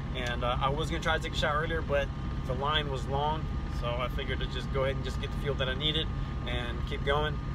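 A man talks at a fairly quick pace in a dry sound with no echo. Loud background noise is present. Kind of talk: casual vlog chat. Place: car. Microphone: phone near.

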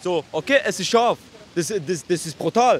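A man's lively intonation at a moderate pace, against noticeable background noise. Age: 20s. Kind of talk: casual street chat.

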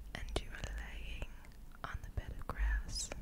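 Whispered words from a woman. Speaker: ASMR creator. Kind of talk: ASMR whisper for sleep. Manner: whispered, soft, slow, repetitive. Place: home room. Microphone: studio mic.

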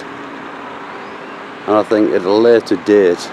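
A man's fairly low voice with fairly even intonation, a dry sound with no echo, and noticeable background noise. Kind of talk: casual vlog commentary. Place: street. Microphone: phone near.

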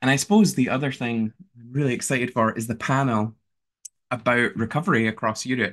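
A man talks at a very fast pace with fairly even intonation against a quiet background. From Scotland and Canada. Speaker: peer support leader; webinar host. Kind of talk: speech. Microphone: webcam.

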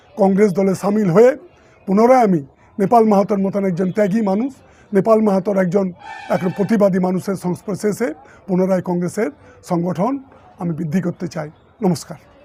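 A man's high voice with ordinary pitch variation over noticeable background noise. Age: 60s. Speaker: politician. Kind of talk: political statement. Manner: formal.

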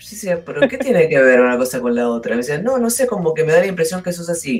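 Over faint music in the background, a woman talks fast in a low, husky voice with a slightly mellow tone and lively intonation.

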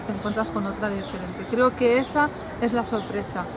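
A woman speaks with a Spanish accent at a fairly high pitch. Background noise is noticeable. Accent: Peninsular Spanish. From Spain. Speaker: romance novelist. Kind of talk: casual interview. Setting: book fair. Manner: animated. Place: garden.

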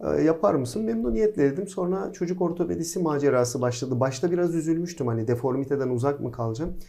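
A man's fairly high voice at a very fast pace with hardly any pauses, plus audible room echo. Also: lively intonation. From Izmir, Turkey. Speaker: pediatric orthopedic surgeon, professor. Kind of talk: casual interview.

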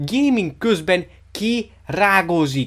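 Very wide pitch swings from a man, recorded very cleanly against a silent background. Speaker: comedy video creator. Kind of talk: angry comedic rant about a chewing gum ad. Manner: profanity-laden, ranting, incredulous, breaking into mocking laughter.

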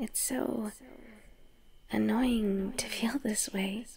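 Nervous, sinister tone over noticeable background noise. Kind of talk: ASMR roleplay monologue, scripted yandere girlfriend character. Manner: intimate, soft and sweet, slipping between giddy and anxious; nervous laughs, stammering, and sudden shifts to sinister calm.

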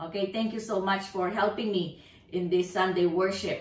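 Audible room echo surrounds a woman talking at a fairly slow pace. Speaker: pastor. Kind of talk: church announcements. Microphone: camera far.

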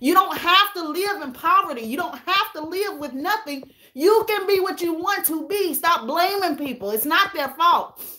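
A woman's extremely high, bright and sharp voice is raised and projected, with lively intonation. Her loudness swings widely, and she hardly pauses. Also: moderate pace. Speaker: YouTuber hosting a livestream; YouTuber. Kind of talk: casual livestream chat with viewers. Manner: animated. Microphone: phone near.

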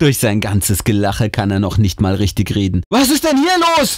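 The recording sounds dry and close, with no echo. A man is the one talking. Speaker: audiobook reader. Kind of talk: reading aloud a ghost story; hushed, suspenseful scary-story narration. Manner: slow, whispery and tense, building suspense.

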